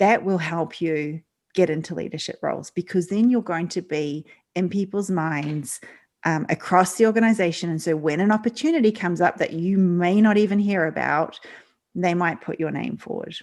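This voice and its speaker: Speaking at a moderate pace with an Australian accent, a woman has a fairly low pitch and ordinary pitch variation on a very clean recording with a silent background. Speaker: leadership coach. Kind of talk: interview. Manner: halting, many fillers.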